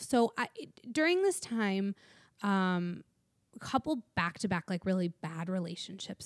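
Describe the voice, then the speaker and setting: In a very clean recording with a silent background and a dry, close sound with no echo, a woman with a normal speaking voice speaks at a fairly slow pace in a medium pitch. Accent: American. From US Midwest. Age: 30s. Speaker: recovering alcoholic and AA sponsor. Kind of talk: testimony.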